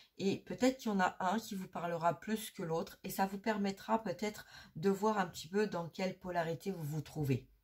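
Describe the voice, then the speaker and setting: A woman speaks at a medium pitch and a moderate pace with ordinary pitch variation and a somewhat breathy voice. The recording is very clean with a silent background. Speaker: energy healer and medium. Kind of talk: spiritual guidance talk. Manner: hesitant, many filler sounds; soft-spoken during healing.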